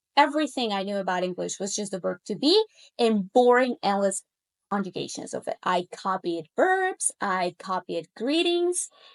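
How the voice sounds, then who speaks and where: With a Spanish accent, the speaker's pitch swings very widely at a moderate pace, in a dry, close sound with no echo. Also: woman, medium pitch for a woman. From Colombia. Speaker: language coach. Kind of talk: casual monologue to camera.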